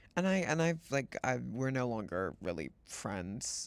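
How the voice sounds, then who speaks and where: The man has a normal speaking voice at medium pitch. He talks at a moderate pace on a very clean recording with a silent background. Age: 20s. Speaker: streamer. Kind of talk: casual chat.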